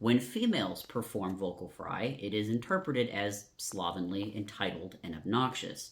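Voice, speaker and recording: A man with a normal speaking voice talks at a moderate pace with hardly any pauses, using a fairly low pitch and ordinary pitch variation. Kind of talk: educational talk to camera.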